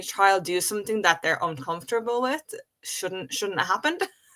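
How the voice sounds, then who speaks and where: A bright, sharp tone in an Irish accent. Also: woman. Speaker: stammering advocate. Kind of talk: interview conversation. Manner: disfluent with repetitions.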